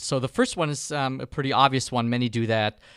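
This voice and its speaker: This man speaks at a medium pitch with a German accent, and the sound is dry and close with no echo. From Germany. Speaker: filmmaking course instructor. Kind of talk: online course lecture. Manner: hesitant, many fillers.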